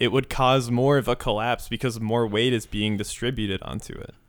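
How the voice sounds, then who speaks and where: A man speaks in a normal speaking voice, with medium pitch and fairly even intonation. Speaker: podcast host. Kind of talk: casual comedic chat.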